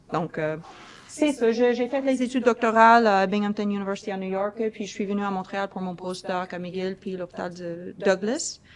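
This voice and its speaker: Medium pitch, ordinary pitch variation and a moderate pace from a woman with an American accent. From US Midwest, Kansas (small village). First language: English (speaking French). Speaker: university professor, researcher. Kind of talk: lecture. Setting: conference room with online audience via Zoom. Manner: hesitant, many filler sounds.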